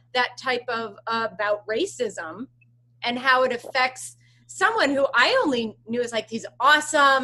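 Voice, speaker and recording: Speaking in an American accent, a woman sounds animated at a high pitch, with ordinary pitch variation and a fairly slow pace. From Pennsylvania, US. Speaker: podcast host. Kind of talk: interview conversation.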